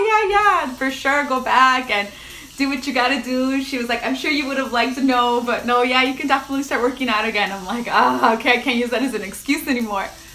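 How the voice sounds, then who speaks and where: A woman projects a raised, high-pitched voice at a fairly quick pace, with audible room echo and noticeable background noise around her. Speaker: lifestyle vlogger. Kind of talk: casual livestream chat. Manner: loud; casual, filler-heavy.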